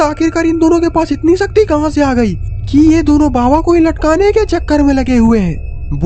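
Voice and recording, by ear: A cartoonish character voice rattles along at a fairly quick pace over clear background noise.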